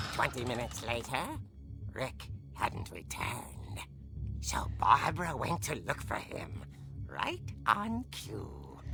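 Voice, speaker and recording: A put-on character voice speaks low and at a fairly slow pace. Loud music sounds in the background. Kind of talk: horror narration. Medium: game stream. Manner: theatrical, ghoulish.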